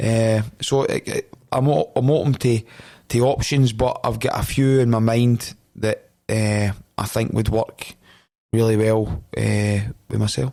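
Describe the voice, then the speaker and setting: A man with a Scottish accent speaks at a fairly slow pace and a medium pitch, his tone dark and mellow. His intonation stays fairly even, and his loudness is very even. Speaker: football head coach. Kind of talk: podcast interview. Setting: podcast studio. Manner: intense, forceful.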